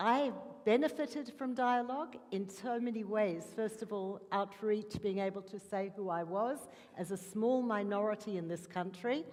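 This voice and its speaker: The woman speaks at a medium pitch with an Australian accent. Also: ordinary pitch variation, moderate pace. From Australia, Melbourne. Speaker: interfaith dialogue worker. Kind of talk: panel talk.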